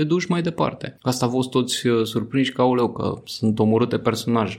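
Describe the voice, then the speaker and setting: This is an ordinary speaking voice, moving at a moderate pace with ordinary pitch variation. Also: man. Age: 30s. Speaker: journalist and satirical writer. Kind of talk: casual interview.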